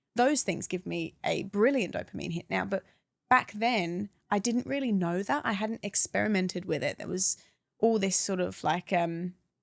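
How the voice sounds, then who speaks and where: Speaking with an English accent, a woman talks at a moderate pace and medium pitch. The recording is very clean, with a silent background. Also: ordinary pitch variation. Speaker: anti-vaping campaigner. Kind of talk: podcast interview, personal story.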